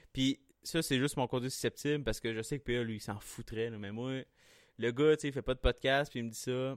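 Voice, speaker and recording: With a Quebec accent, a man at medium pitch speaks at a fairly quick pace with fairly even intonation, the sound dry and close with no echo. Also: very clean recording, silent background. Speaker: podcast host. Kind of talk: casual chat.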